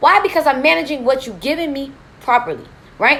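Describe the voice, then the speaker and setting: Loud and animated, a woman speaks very fast in a high pitch. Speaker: credit repair coach. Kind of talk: live stream Q&A. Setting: hotel room live stream.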